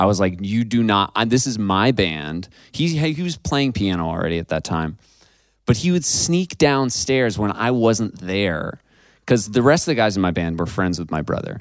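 A man's fairly low voice in an American accent, at a moderate pace with very wide pitch swings, against a quiet background. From upstate New York, US. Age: 20s. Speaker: singer-songwriter. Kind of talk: casual interview chat.

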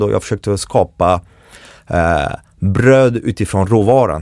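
A fairly low-pitched man in a very clean recording with a silent background, dry and close with no echo. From France, Paris. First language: French (speaking Swedish). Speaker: chef and baker. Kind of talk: casual interview. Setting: studio. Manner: animated.

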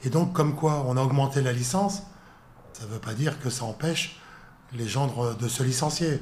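With audible room echo, a man speaks at a medium pitch and a moderate pace, using ordinary pitch variation and long, frequent pauses. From northern France, Lille. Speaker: sports federation president. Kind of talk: interview. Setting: federation headquarters office.

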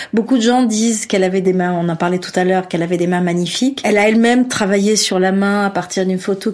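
A woman speaks with an unremarkable speaking voice. Her pitch variation is ordinary. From Algeria. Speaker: author and journalist. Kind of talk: interview.

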